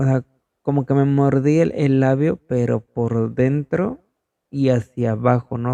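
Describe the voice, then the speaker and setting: This man's voice has a dark, mellow tone at a medium pitch, with ordinary pitch variation and a fairly slow pace. The sound is dry and close, with no echo. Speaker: podcast host. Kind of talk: casual podcast narration. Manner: halting, stumbling.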